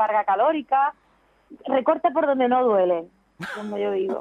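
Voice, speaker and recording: Here a woman has an unremarkable speaking voice, fairly high in pitch and moderate in pace. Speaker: professional golfer and TV presenter. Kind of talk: interview.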